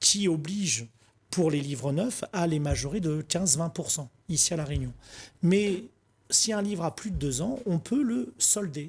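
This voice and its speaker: Lively intonation runs through fairly slow speech broken by long, frequent pauses, in a very clean recording with a silent background. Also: man, high pitch for a man. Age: 40s. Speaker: book wholesaler, shop manager. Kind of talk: TV interview. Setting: TV studio.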